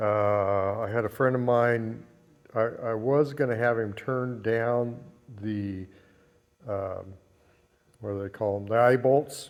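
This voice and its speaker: Very slow and full of long, frequent pauses, a man speaks at medium pitch with fairly even intonation. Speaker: restoration hobbyist. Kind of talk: tutorial. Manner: monotone; halting.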